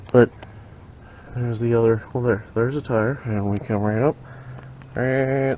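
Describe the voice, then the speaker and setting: A man talks in an animated tone at a medium pitch. Noticeable background noise sits behind him. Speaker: DIY car mechanic youtuber. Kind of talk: casual tutorial. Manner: casual, animated.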